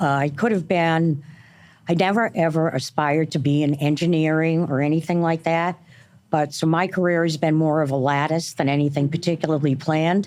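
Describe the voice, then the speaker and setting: In an American accent, a woman speaks at a fairly quick pace with a very deep, low pitch and fairly even intonation. Her loudness is very even, and the recording is very clean with a silent background. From New England, Boston area. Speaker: construction executive and board member. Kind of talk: panel interview.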